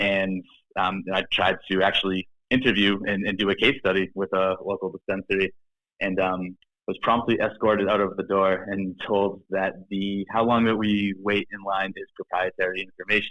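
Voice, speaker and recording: With a slight Boston accent, a man speaks in a fairly low pitch at a moderate pace with monotone, flat intonation. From Boston, Massachusetts. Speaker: startup founder and CEO. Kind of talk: podcast interview. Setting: studio. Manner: halting, many fillers and restarts.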